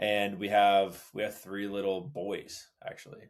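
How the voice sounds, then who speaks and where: In an American accent, a man with a fairly low pitch talks at a very slow pace. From Los Angeles, US. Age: 30s. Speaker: father sharing his story. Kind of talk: casual interview conversation.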